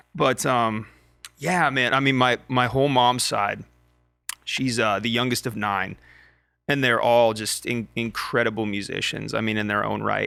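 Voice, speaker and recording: Over music in the background, a man at medium pitch speaks at a fairly slow pace with fairly even intonation and long, frequent pauses. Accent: American. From Montana, US. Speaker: country singer-songwriter. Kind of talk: casual chat.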